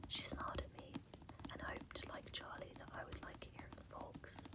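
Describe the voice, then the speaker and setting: A whisper can be heard. Behind it is noticeable background noise. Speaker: ASMR creator. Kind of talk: ASMR bedtime reading. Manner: soft-spoken, whispered.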